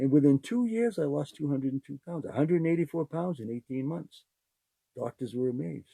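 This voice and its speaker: A somewhat breathy man with a fairly high pitch and a dark, mellow tone, in a dry, close sound with no echo. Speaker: podcast host. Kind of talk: casual monologue. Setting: live podcast. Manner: animated.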